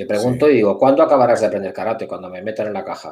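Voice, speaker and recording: At a very fast pace, a man talks with medium pitch, a dark, mellow tone and lively intonation. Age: 50s. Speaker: security director. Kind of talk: casual interview.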